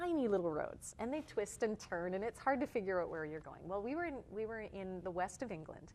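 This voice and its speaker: Here a woman speaks at a moderate pace. Her medium pitch moves in very wide swings. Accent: slight Canadian. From Canada, Toronto. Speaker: touring musician. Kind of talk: interview.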